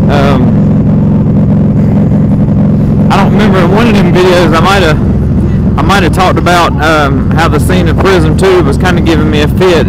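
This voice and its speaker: A man speaks in a dry recording with no echo. Loud background noise runs underneath. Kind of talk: casual vlog chat. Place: motorbike. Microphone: helmet.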